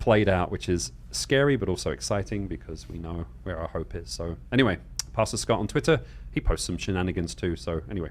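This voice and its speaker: With a very deep, low pitch and vocal fry, a man talks at a fairly quick pace while his pitch swings very widely. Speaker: Bible Q&A show host. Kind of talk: live show announcements. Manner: fast.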